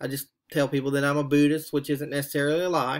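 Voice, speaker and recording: In a Southern US accent, a man speaks at a fairly high pitch with monotone, flat intonation. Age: middle-aged. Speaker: graduate student. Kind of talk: reflective monologue for a class assignment. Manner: halting, with frequent fillers.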